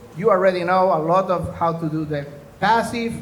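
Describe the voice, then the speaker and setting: There is audible room echo around this man's voice. He has a high pitch and speaks at a fairly slow pace. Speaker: former US intelligence officer and security consultant. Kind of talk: conference presentation.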